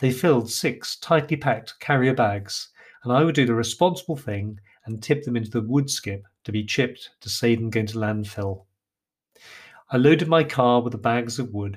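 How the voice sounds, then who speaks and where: A man speaks in an English accent at medium pitch with ordinary pitch variation. His pace is moderate, and the recording is very clean with a silent background. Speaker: author and podcaster. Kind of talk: storytelling narration.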